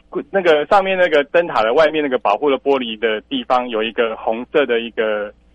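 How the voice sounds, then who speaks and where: With a Taiwanese accent, a man speaks at a moderate pace in a fairly high pitch with lively intonation, the sound dry and close with no echo. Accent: Taiwanese Mandarin. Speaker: lighthouse director. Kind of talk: radio interview.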